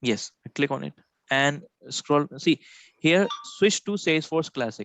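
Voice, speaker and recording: A man's fairly high voice with an Indian accent, lively intonation and a fairly slow pace, dry with no echo, over light background noise. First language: Hindi. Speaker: software trainer. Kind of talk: live one-on-one training session. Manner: halting, many fillers. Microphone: video call.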